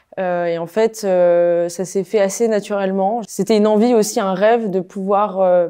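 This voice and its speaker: Her dark, mellow tone at medium pitch stays monotone and flat as the woman speaks at a fairly slow pace. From Paris, France. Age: 20s. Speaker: TV reporter and presenter. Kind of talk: interview. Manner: halting, many fillers and repetitions.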